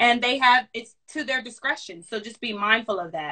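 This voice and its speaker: A woman speaks with ordinary pitch variation. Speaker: career services staff. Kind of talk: workshop talk. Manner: fast; animated.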